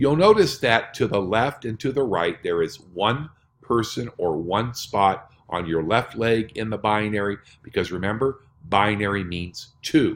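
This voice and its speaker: Here is an ordinary speaking voice: a man at a fairly low pitch, speaking at a fairly slow pace with ordinary pitch variation. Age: 60s. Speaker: network marketing presenter. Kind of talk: sales pitch.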